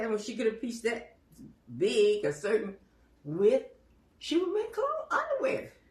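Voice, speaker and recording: At a moderate pace, a woman with a high pitch makes very wide pitch swings and long, frequent pauses over noticeable background noise. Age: 90s. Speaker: elderly storyteller. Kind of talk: casual interview. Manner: halting.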